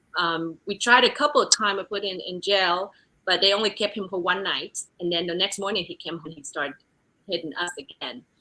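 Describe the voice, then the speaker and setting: With a Vietnamese accent, a woman talks at a fairly quick pace and a medium pitch, her bright, sharp tone showing ordinary pitch variation and big swings in loudness. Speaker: real estate executive. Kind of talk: interview testimony. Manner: halting, many fillers.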